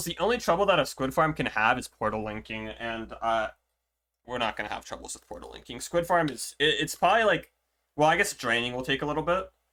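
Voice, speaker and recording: The voice is bright and sharp, racing along at a very fast pace. Its pitch swings very widely and its loudness rises and falls sharply. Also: man, fairly high pitch for a man. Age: 20s. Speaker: streamer. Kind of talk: casual gameplay commentary. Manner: casual, rambling.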